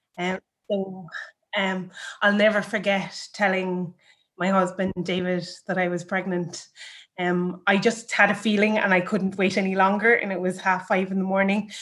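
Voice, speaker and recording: In an Irish accent, a woman talks at a moderate pace and medium pitch with a monotone, flat intonation. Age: 30s. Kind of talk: personal story interview.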